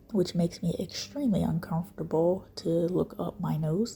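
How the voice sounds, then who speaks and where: A woman is whispering. She is soft-spoken throughout. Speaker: skincare video creator. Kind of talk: casual talk to camera. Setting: indoors at home, quiet room. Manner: whispered, soft-spoken.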